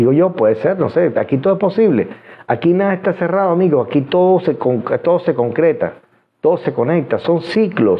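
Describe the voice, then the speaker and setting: A man at a high pitch and moderate pace, lively in intonation and very even in loudness. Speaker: hypnotherapist and esoteric livestream host. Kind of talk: live stream Q&A monologue. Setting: live stream from home studio.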